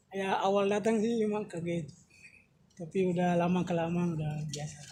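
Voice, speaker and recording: A man with a Papuan accent speaks at a moderate pace in a high voice with fairly even intonation. Audible room echo and noticeable background noise fill the recording. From Papua, Indonesia. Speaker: university student interviewee. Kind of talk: casual interview.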